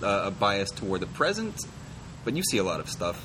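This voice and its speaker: A man speaks at a moderate pace. The room echo is audible and there is noticeable background noise. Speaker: podcast host. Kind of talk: interview.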